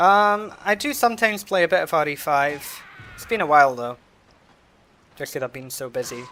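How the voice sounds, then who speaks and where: A man with a Scottish accent and a high pitch talks at a fairly quick pace, his voice making very wide pitch swings and big swings in loudness, broken by long, frequent pauses. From Scotland. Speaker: video game streamer. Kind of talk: casual live stream commentary while gaming.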